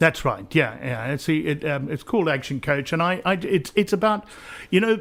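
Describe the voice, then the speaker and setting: A man with a South African accent, fairly high in pitch, with lively intonation at a moderate pace. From South Africa (Pretoria), born in Essex. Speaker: business coach, former helicopter pilot. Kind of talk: radio interview. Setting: radio studio. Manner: halting, many repeated words.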